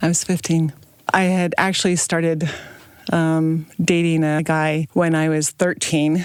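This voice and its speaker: Over noticeable background noise, a woman talks at a fairly slow pace with a fairly low pitch, monotone, flat intonation and very even loudness. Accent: American. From US West (northern Utah). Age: 60s. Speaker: interviewee, mother of twelve. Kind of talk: personal testimony.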